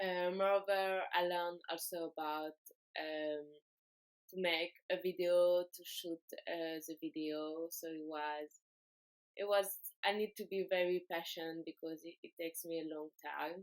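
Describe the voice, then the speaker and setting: A woman speaks at a fairly slow pace in a fairly low pitch, with a French accent. Her intonation is monotone and flat, and the sound is dry and close with no echo. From France. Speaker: exchange student. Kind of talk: class project presentation. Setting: self-recorded video. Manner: halting, many fillers.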